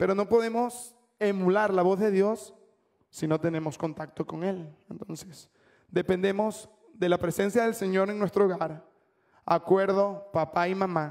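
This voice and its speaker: A man speaks at a high pitch and fairly slow pace, keeping his intonation fairly even against a quiet background. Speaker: preacher. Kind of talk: sermon. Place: church. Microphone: handheld.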